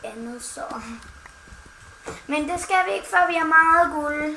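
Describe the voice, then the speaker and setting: Speaking very slowly in a raised, projected voice, a woman with a high pitch and ordinary pitch variation sounds playful, with audible room echo and noticeable background noise. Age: 20s. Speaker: gaming YouTuber. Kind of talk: casual chat.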